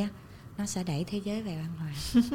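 A woman speaks in a normal speaking voice at a medium pitch. Her pace is fairly quick, and her pitch variation is ordinary. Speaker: TV presenter and author. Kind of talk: casual interview.

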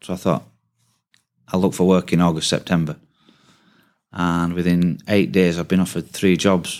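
A man's very deep, low voice, monotone and flat, at a moderate pace with long, frequent pauses, on a very clean recording with a silent background. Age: 40s. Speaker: window industry salesperson. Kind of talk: interview.

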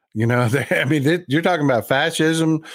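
Speaking at a moderate pace with an American accent, a man sounds animated, his pitch varying in an ordinary way over a very clean recording with a silent background. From Texas. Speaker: podcast guest and commentator. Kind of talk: casual heated chat. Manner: animated, profane.

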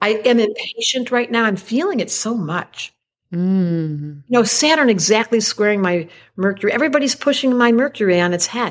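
Her intonation is lively and her tone animated as this woman speaks at a moderate pace with a fairly high pitch. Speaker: astrologer. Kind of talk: casual chat.

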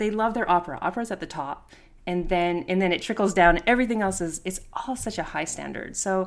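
Speaking in a Canadian accent, this is a plain, everyday voice. It moves at a moderate pace with ordinary pitch variation. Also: woman. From Canada, small town, Italian immigrant parents. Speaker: pianist and chamber music coach. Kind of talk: interview. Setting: video call.

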